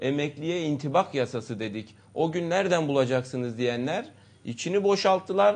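Lively intonation runs through this man's speech at a moderate pace. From Istanbul, Turkey. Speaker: politician, party candidate. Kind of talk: political interview. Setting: studio. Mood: earnest, critical political argument. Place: studio.

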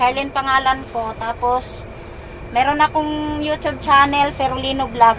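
A woman speaks at a moderate pace with a high pitch. Noticeable background noise can be heard. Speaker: vlogger doing charity visits. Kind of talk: casual interview. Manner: animated.

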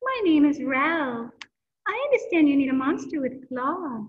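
A woman uses a put-on character voice, high-pitched and at a moderate pace. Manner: polite, courteous.

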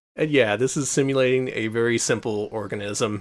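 The voice is a natural reading voice. It reads the text aloud.

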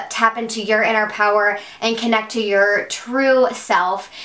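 Speaking at a moderate pace, a woman is heard with audible room echo. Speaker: beauty vlogger. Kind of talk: casual vlog chat. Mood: excited, warm. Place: home room.

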